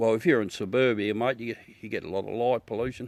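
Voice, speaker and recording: Here a man speaks in a strong Australian accent at a medium pitch. His intonation stays fairly even. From South Australia. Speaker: amateur astronomy livestreamer. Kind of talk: casual live stream chat. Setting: outdoors at night with telescope. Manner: chatty, relaxed.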